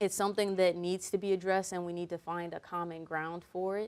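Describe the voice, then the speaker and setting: At a moderate pace, a woman speaks in an American accent with a fairly low pitch and monotone, flat intonation. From Fresno, California. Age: young. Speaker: podcast host. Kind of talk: casual chat.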